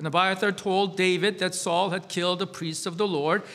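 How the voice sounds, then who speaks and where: The voice belongs to a man. He talks in a raised, projected voice. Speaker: pastor. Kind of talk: scripture reading.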